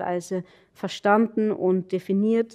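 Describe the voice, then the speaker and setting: A woman's dark, mellow voice with fairly even intonation over a quiet background. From Austria, Carinthia (Nockberge). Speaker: anthropologist. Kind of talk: academic lecture. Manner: hesitant, many fillers.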